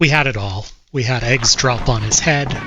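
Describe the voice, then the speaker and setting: At a fairly slow pace, a man with an American accent speaks at a medium pitch with fairly even intonation. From United States. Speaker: video game speedrunner streamer. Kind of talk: live-streamed gameplay commentary.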